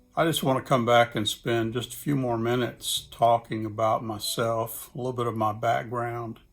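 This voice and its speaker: Music plays behind a man with a Southern US accent who speaks at a medium pitch in a monotone, flat delivery. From Mississippi, US South. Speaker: church planting specialist. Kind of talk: casual talk to camera. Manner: slow.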